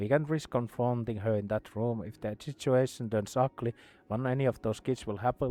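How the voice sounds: The clip features a natural reading voice. Text is read out with it.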